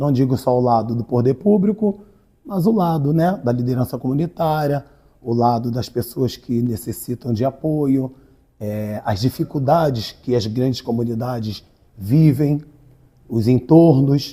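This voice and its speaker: A somewhat breathy voice with a dark, mellow tone and ordinary pitch variation speaks at a fairly slow pace. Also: man, medium pitch for a man. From Rio de Janeiro, Brazil. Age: 40s. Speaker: writer and community activist. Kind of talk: interview.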